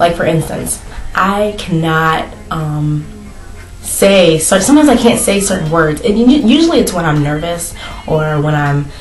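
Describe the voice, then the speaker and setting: A woman speaks at a moderate pace with lively intonation and a fairly low pitch. The room echo is audible, and there is noticeable background noise. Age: 20s. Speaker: vlogger. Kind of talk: casual chat. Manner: halting.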